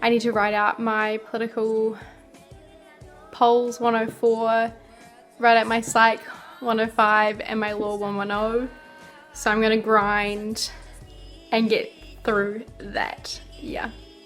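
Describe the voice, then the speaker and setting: Over music in the background, a woman speaks very slowly with long, frequent pauses. Her fairly high pitch stays in a monotone, flat intonation. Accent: New Zealand. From New Zealand. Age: young. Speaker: university student. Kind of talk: casual talk to camera.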